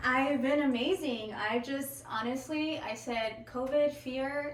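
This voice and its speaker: Amid noticeable background noise and audible room echo, a woman with a Spanish accent speaks at a high pitch with ordinary pitch variation. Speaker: podcast guest. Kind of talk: casual chat. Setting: studio.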